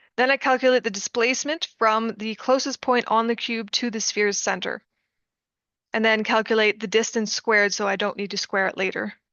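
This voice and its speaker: A woman with a plain, everyday voice, fairly high pitch, fairly quick pace and fairly even intonation. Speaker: student. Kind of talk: tutorial.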